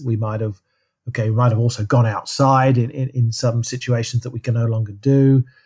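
A man's somewhat breathy, medium-pitched voice with a dark, mellow tone and monotone, flat intonation. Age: 60s. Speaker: professor of physical activity and health. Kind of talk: casual interview. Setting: remote call. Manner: halting, frequent repetitions.

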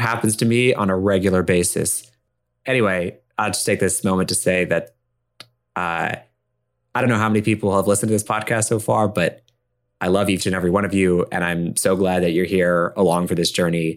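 On a very clean recording with a silent background, a man with a very deep, low pitch speaks fairly quickly in a playful tone with fairly even intonation. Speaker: podcast co-host and improvised storyteller. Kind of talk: improvised collaborative storytelling. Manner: playful, laughs often.

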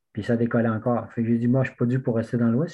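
A man talks in a medium pitch. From Quebec, Témiscouata region. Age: 60s. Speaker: backcountry skier. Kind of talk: casual chat.

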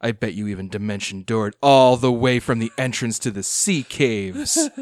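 Set on a silent background in a very clean recording, a man performs a put-on character voice at a medium pitch. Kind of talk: game master villain voice. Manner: contemptuous, threatening.

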